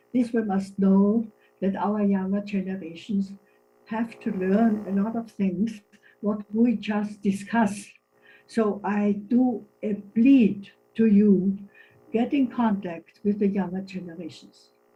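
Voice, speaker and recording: Speaking at a fairly slow pace, a woman leaves long, frequent pauses while music plays in the background. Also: medium pitch for a woman, fairly even intonation. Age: 80s+. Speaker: senior citizens' association member. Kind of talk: meeting statement. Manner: halting.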